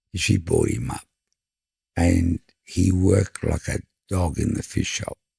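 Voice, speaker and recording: Slow-ish and broken by long, frequent pauses, the voice carries vocal fry and a dark, mellow tone in an Australian accent. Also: man, very deep, low pitch for a man, ordinary pitch variation, dry, close sound with no echo. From Sydney, Australia (Five Dock). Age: 60s. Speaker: fish and chip shop owner. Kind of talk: casual interview chat.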